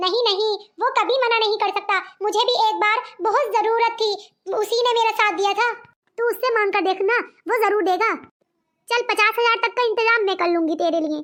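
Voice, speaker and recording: This is a cartoonish character voice at a fairly quick pace. Its intonation stays fairly even. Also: woman, extremely high pitch for a woman. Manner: reassuring, warm.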